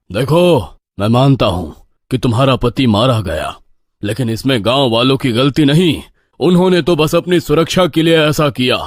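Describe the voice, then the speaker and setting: In a very clean recording with a silent background, a man performs a put-on character voice at medium pitch. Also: moderate pace, lively intonation. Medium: audio drama. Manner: authoritative, fatherly.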